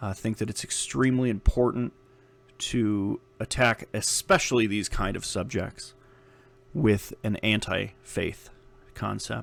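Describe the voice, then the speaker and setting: A man's fairly slow speech with vocal fry and ordinary pitch variation. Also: fairly low pitch for a man. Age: 30s. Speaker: podcast host. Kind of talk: solo podcast monologue. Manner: casual, many filler words.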